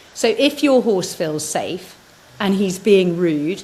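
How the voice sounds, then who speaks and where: Noticeable background noise sits behind the speaker. She is a woman with a medium pitch. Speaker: horse trainer. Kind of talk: casual chat. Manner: halting.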